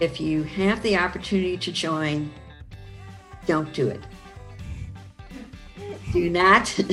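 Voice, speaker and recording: The speaker has an American accent and talks at a very slow pace with long, frequent pauses. Pitch variation is ordinary, with music in the background. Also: woman, fairly low pitch for a woman. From Chicago. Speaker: actress and voice-over artist. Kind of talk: interview answer. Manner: casual, conversational.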